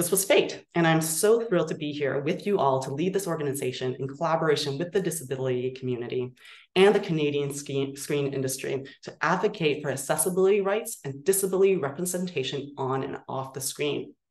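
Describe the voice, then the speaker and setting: Very deep and low-pitched, a woman speaks at a fairly quick pace with ordinary pitch variation and hardly any pauses. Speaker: nonprofit executive director. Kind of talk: virtual meeting presentation. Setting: video call. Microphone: video call.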